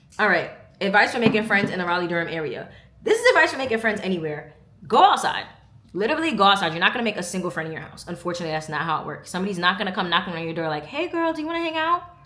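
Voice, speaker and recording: Speaking at a very fast pace over noticeable background noise, a woman with a medium pitch shows very wide pitch swings and big swings in loudness. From New York, Brooklyn. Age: 20s. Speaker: vlogger. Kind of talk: casual chat. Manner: animated.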